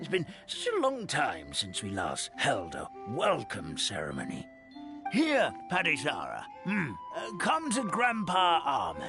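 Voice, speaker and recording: A man performs a cartoonish character voice at a fairly slow pace. Clear music plays in the background. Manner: chuckling, warm.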